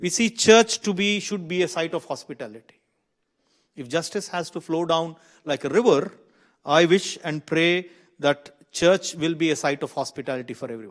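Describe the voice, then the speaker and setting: In a quiet background, a man talks with an Indian accent. His pitch is high, with ordinary pitch variation. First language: an Indian language. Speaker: minister and seminar speaker. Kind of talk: seminar talk. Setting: seminar room with audience. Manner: halting with self-corrections.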